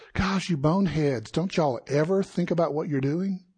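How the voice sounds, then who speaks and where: Speaking with a South Carolina accent, a man with a fairly high pitch sounds somewhat breathy at a moderate pace against a quiet background. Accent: Southern US (South Carolina). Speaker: pastor. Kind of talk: sermon. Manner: conversational.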